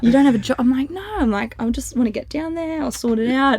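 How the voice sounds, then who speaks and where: There is noticeable background noise as a woman talks with an Australian accent. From North Queensland, Australia. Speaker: community manager in financial advice. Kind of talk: casual podcast interview. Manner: animated.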